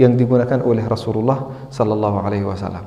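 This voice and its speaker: A man's medium-pitched voice with an Arabic accent, very fast and fairly even in intonation, with audible room echo and noticeable background noise. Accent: Arabic-accented Indonesian. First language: not Indonesian (speaking Indonesian). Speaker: Islamic teacher. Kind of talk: religious lecture. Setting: mosque with audience. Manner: halting.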